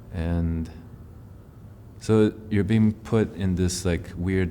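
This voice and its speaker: A man speaks at a very deep, low pitch and a fairly slow pace. His intonation is fairly even, and there is audible room echo. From Taiwan, moved to North America at eight. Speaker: musician. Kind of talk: interview. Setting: filmed interview in a theatre venue. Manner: casual, filler-heavy.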